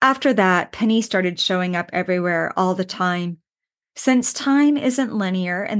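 Against a quiet background, a woman speaks at a medium pitch in an unremarkable speaking voice. Her pace is fairly slow, and her intonation is lively. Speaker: podcast host and clinical psychologist. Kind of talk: poet reading her own grief writing aloud, spoken word; unscripted reflective talk mixed with readings. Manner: slow, cadenced and heartfelt, reflective; intimate and emotional, rhythmic list-like delivery.

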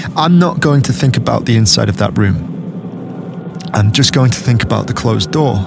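Over music in the background, a man with a medium-pitched voice speaks at a moderate pace in a dramatic tone, his pitch swinging very widely while his loudness stays very even. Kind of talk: dramatic first-person horror narration. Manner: tense, hushed, halting, urgent; dramatic, suspenseful.

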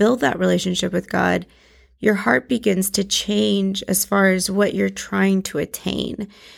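A woman speaks in a very clean recording with a completely silent background. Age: 30s. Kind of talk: devotional teaching.

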